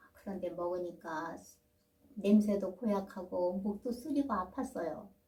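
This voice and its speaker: Somewhat breathy and dark, mellow in tone, a woman speaks at medium pitch and a fairly slow pace with ordinary pitch variation. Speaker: storytelling grandmother (folk tale teller). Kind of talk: folk tale storytelling. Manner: narrative, storytelling pace.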